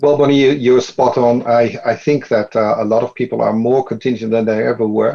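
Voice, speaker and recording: Hardly pausing, a man with a Dutch accent speaks at a fairly quick pace in a medium-pitched, dark, mellow voice with monotone, flat intonation. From Netherlands. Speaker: business consultant. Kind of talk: panel discussion.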